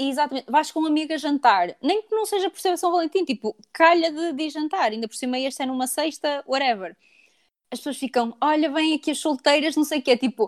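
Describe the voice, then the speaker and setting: Delivered at a fairly quick pace with lively intonation in a European Portuguese accent, the voice sounds dry and close with no echo. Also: woman, high pitch for a woman. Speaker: podcast co-host. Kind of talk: casual chat.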